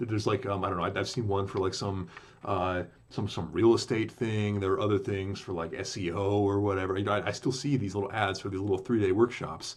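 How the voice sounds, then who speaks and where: At a very fast pace, a man with a fairly low, somewhat breathy voice keeps his intonation fairly even. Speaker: podcaster recounting a business scam. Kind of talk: casual monologue. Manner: halting, many fillers and restarts.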